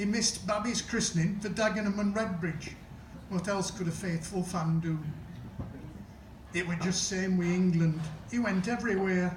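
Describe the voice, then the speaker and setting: A Sheffield accent at a moderate pace, with long, frequent pauses, very even loudness and fairly even intonation, over noticeable background noise. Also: man, high pitch for a man. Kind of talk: comic verse monologue performance.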